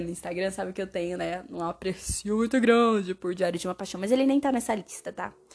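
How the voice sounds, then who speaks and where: Her tone is animated as this woman speaks. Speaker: podcaster reviewing films. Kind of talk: casual monologue. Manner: animated, chatty.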